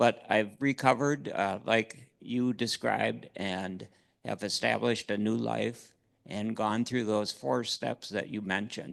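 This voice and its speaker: A man with an American accent speaks at a fairly low pitch with vocal fry and ordinary pitch variation against a quiet background. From Minnesota. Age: 70s. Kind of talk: audience question. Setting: conference Q&A. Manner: halting with fillers.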